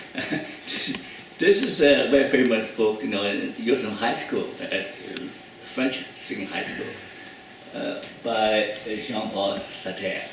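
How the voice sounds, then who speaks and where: A man's medium-pitched voice at a very slow pace, with long, frequent pauses, ordinary pitch variation, audible room echo and noticeable background noise. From China. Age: 70s. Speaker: psychologist. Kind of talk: lecture. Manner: halting.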